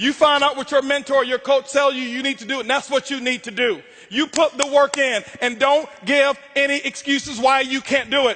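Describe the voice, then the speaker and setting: A man with an American accent speaks in an extremely high, raised, projected voice with an intense, animated tone. He barely pauses, and there is noticeable background noise. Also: moderate pace. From Florida, Tampa. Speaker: motivational speaker. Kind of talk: motivational speech. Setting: stage with audience. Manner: loud, yelling.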